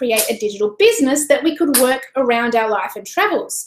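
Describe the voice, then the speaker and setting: A woman with an Australian accent, lively intonation and a moderate pace. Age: 40s. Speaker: online business coach. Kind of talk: webinar presentation. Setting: live stream. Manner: animated.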